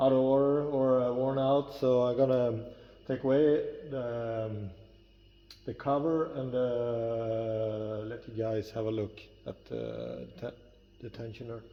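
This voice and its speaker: A man with a non-native accent talks very slowly at a medium pitch, his intonation fairly even. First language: not English. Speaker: metalworker. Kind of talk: tutorial. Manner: halting.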